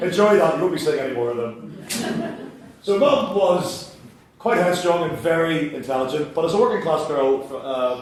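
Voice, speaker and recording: Over noticeable background noise, a man with a Northern Irish accent speaks at a high pitch with lively intonation. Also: moderate pace. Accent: Northern Irish (Belfast). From Belfast, Northern Ireland. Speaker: writer, comedic storyteller. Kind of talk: live comedic spoken-word show. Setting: theatre stage, live audience.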